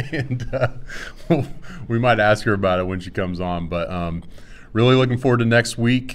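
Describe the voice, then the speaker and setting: In a Texas accent, a man talks with ordinary pitch variation, and audible room echo can be heard. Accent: Texas drawl. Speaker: swim coach. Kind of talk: casual chat. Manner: slow, calm drawl.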